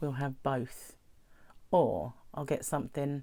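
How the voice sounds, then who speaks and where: Her voice is very deep and low. A woman with a British accent speaks at a fairly slow pace. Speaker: weight-loss vlogger. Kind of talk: casual talk to camera.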